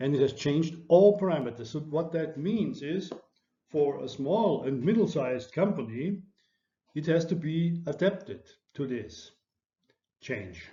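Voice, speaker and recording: Taking long, frequent pauses, a man speaks fairly slowly at a fairly high pitch with lively intonation. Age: 60s. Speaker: lecturer. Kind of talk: lecture. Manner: halting.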